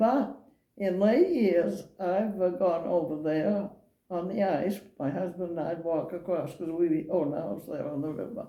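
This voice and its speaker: Audible room echo surrounds this woman's voice. She speaks fairly slowly at a fairly low pitch. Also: ordinary pitch variation. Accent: American. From Maine, US. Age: 80s+. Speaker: elderly local resident interviewed. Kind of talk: oral history interview. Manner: halting.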